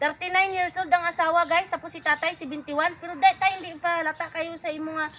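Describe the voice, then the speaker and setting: Raising and projecting her voice, a woman speaks at a very fast pace. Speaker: vlogger. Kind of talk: casual vlog talk to camera. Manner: upbeat.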